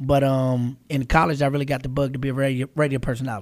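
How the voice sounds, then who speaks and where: With an American accent, a man of medium pitch talks at a very fast pace. His intonation is monotone and flat, on a very clean recording with a silent background. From Charlotte, North Carolina. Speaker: radio host. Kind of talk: casual interview.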